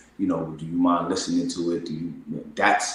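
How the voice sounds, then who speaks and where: A man talks with audible room echo and noticeable background noise in the recording. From New York City (Bronx). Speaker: singer-songwriter. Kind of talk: interview.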